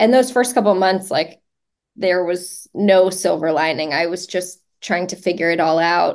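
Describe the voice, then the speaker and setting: A woman's medium-pitched, ordinary speaking voice at a moderate pace, with ordinary pitch variation and a quiet background. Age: 30s. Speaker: ALS patient and social media advocate. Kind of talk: casual interview.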